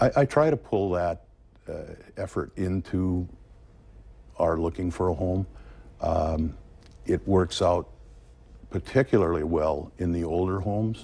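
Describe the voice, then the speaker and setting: Speaking with an American accent in a very deep, low pitch, a man uses a dark, mellow tone that is somewhat breathy, with lively intonation, a fairly slow pace and long, frequent pauses. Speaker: real estate agent. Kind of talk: interview. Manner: calm.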